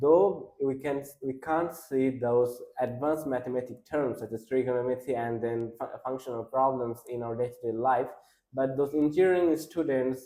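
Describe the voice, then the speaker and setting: With a Bengali accent, a man talks at a moderate pace in a dark, mellow tone with fairly even intonation. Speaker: exam candidate. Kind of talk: speaking test interview. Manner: halting, many restarts and fillers.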